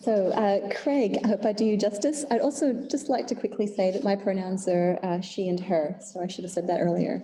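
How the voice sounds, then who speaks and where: A woman speaks fairly quickly while noticeable background noise carries on behind her. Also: medium pitch for a woman, ordinary pitch variation, hardly any pauses. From Indonesia. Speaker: filmmaker. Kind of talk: reading aloud; panel discussion.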